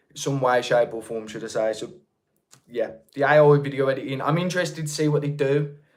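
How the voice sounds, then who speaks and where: This man speaks with a Birmingham accent. His pitch sits fairly high. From England, North Birmingham. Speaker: YouTube creator, livestream host. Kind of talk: casual livestream chat. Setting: livestream.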